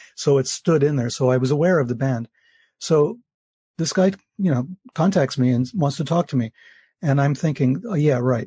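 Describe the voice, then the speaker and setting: Against a quiet background, a man with an American accent speaks at a fairly quick pace, his fairly high, somewhat breathy voice dark and mellow in tone, with ordinary pitch variation and a dry, close sound with no echo. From US, New York City. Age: old. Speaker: author. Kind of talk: interview.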